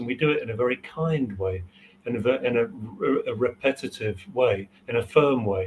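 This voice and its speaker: Somewhat breathy, a man speaks at a moderate pace. He has a medium pitch with ordinary variation. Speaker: hypnotherapy trainer. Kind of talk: interview. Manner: hesitant, many fillers.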